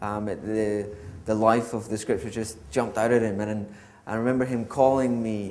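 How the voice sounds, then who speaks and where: A man speaks in a monotone, flat delivery at a medium pitch. His voice carries audible room echo. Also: moderate pace. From Scotland. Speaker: church member. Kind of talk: testimony. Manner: hesitant, many filler ums.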